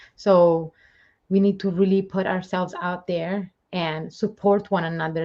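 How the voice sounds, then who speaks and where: In an Italian accent, a woman talks at a medium pitch. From Italy. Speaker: spiritual medium and live show host. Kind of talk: casual chat. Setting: livestream. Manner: animated.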